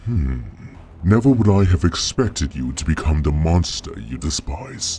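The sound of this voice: A man's put-on character voice, extremely low in pitch with big pitch swings and a dark, mellow tone, at a fairly slow pace over faint music in the background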